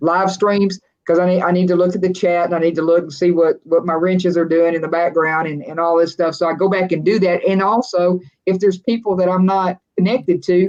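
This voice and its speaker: Talking at a fairly quick pace, a woman with a West Texas accent keeps a fairly low pitch and fairly even intonation. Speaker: RV vlogger and live stream host. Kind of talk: casual live stream chat. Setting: live stream video.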